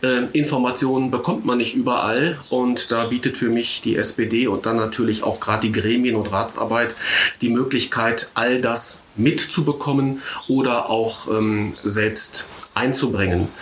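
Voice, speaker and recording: A man speaks fairly slowly with fairly even intonation and very even loudness. Noticeable background noise runs underneath. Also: medium pitch for a man. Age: 50s. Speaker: local politician. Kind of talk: casual chat.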